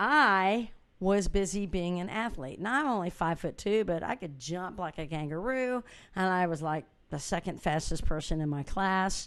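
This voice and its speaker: A woman's plain, everyday voice at medium pitch, with lively intonation and a moderate pace. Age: 60s. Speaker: musician and inspirational speaker. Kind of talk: motivational talk. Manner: casual and conversational.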